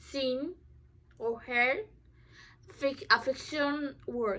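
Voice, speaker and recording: Projecting a raised voice, a woman with a non-native accent speaks at a high pitch in a bright, sharp tone. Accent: obvious non-native. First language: not English. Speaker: student. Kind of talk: informative speech. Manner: halting, many fillers.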